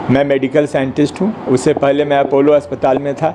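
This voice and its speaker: Noticeable background noise behind a fairly high-pitched male voice. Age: 70s. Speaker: medical scientist. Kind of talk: press conference statement. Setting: press conference in an office.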